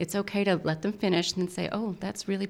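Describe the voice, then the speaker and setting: Speaking very fast with vocal fry, a woman with an American accent holds a medium pitch. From small-town Oklahoma. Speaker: volunteer organization president. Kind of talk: interview.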